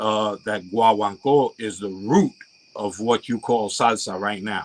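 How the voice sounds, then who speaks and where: A man has a plain, everyday voice at a fairly low pitch. He speaks fairly slowly with fairly even intonation. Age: 60s. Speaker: latin musician. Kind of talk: casual chat.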